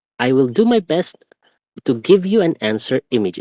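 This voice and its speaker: This man's voice sits fairly high and swings very widely in pitch. His tone is dark and mellow, recorded dry and close with no echo. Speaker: physics and chemistry teacher. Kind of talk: tutorial lesson. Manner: occasional stuttering; unscripted, conversational.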